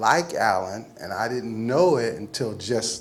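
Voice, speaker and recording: A man talks at a fairly slow pace. Noticeable background noise and audible room echo surround his voice. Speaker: memorial speaker, activist. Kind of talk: eulogy. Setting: memorial gathering with audience. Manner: loud.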